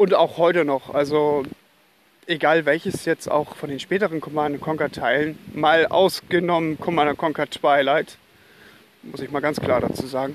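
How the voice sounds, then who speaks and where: A man's ordinary speaking voice, with fairly even intonation, at a moderate pace. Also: fairly high pitch for a man. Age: 30s. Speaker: podcast host. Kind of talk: casual solo podcast monologue.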